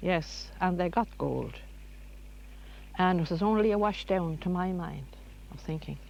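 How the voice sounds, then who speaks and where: A woman speaks in a rural Irish accent at a fairly slow pace. Her pauses are long and frequent. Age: 70s. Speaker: local resident. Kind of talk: interview.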